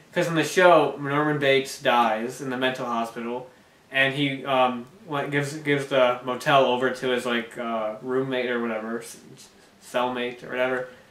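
In a flat monotone, a man speaks at a moderate pace, and room echo is audible. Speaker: amateur film reviewer. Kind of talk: casual review chat. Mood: relaxed, lightly amused. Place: home room. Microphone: camera far.

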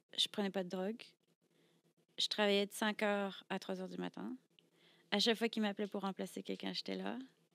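A woman talks at a fairly quick pace but leaves long, frequent pauses. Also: dry sound with no echo. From France, Brittany. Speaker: burlesque performer; podcast guest. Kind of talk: casual interview. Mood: reflective storytelling. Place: studio. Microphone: studio mic.

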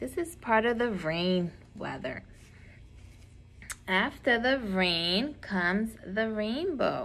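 Against light background noise, a woman speaks at a very slow pace. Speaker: preschool teacher. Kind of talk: lesson for young children. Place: classroom. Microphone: phone near.

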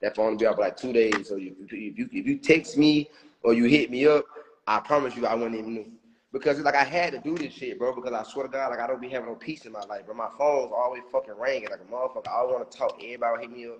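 A man talks at a very fast pace in an animated tone, with big swings in loudness. Light background noise can be heard. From Alabama, US South. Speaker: social media personality; livestreamer. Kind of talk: casual storytelling livestream. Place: home room. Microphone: phone near.

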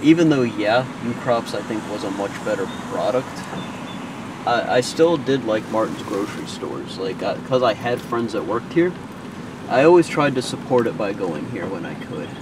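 A man at a moderate pace, dry sound with no echo, noticeable background noise. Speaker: vlogger. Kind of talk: casual vlog chat. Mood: nostalgic, a bit sad. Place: car.

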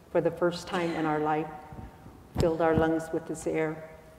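A woman speaks at a fairly low pitch. Audible room echo surrounds her voice. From Arizona, Hopi-Tewa and Havasupai; Arizona. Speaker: spiritual elder; speaker. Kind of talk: public talk. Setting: stage with audience. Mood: calm, reflective, slow. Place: church. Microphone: lapel.

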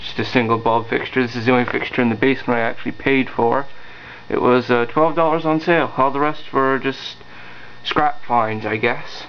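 The speaker talks at a fairly quick pace over light background noise. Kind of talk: casual show-and-tell narration. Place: home room. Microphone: phone near.

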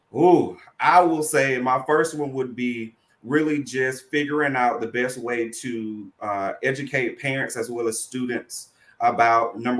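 A man's medium-pitched, normal speaking voice, fairly slow, with ordinary pitch variation. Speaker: college student financial services administrator. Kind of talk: online panel interview. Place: home room.

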